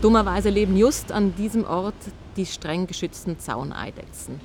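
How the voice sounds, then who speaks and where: This woman has a normal speaking voice, talking at a moderate pace with ordinary pitch variation. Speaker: interviewer. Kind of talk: interview. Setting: outdoors.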